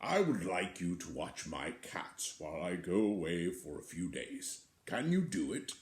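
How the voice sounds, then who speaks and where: In a put-on character voice, the speaker talks at a moderate pace with hardly any pauses. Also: man, very deep, low pitch for a man. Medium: read story. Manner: gentle, polite.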